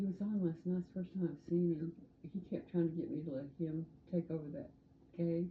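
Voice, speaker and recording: A woman's somewhat breathy voice, fairly low in pitch, at a moderate pace with fairly even intonation. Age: 80s+. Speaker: interviewee. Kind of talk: casual chat.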